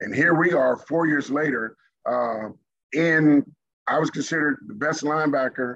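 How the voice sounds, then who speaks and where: An unremarkable speaking voice from a man, fairly high-pitched, at a moderate pace with ordinary pitch variation. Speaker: former pro football player. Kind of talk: casual chat.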